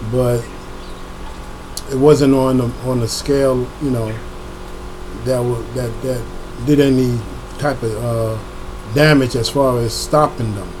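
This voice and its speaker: A medium-pitched man with an American accent, flat and monotone, at a fairly slow pace with long, frequent pauses, audible room echo and noticeable background noise. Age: 60s. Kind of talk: casual monologue. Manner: halting, repeats words.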